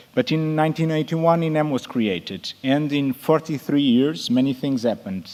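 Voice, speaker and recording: With a non-native accent, a man delivers his words at a fairly slow pace. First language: Portuguese. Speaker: emergency nurse. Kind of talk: conference presentation. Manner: halting.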